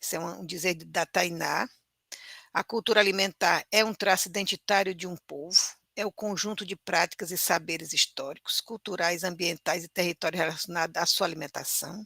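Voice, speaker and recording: Fairly low-pitched and bright, sharp in tone, a woman with a Cearense accent speaks at a moderate pace with fairly even intonation. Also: dry, close sound with no echo. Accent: Cearense northeastern Brazilian Portuguese. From Brazil, northern interior of Ceará near Sobral. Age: 60s. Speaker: teacher. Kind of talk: lecture.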